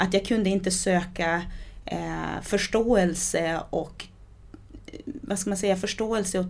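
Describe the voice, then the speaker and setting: A woman speaks very slowly at a medium pitch, with vocal fry. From Sweden, adopted from Brazil at age eight. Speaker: author. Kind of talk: interview, personal life story. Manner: halting, many repetitions and fillers.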